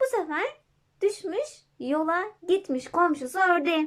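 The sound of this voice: A woman talks at a fairly slow pace. Her extremely high pitch moves in big swings.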